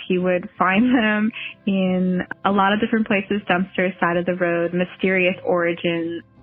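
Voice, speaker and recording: Here a woman speaks at a medium pitch and a moderate pace, with fairly even intonation. She has an unremarkable speaking voice. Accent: American. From New Jersey. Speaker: bicycle mechanic. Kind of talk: casual interview chat.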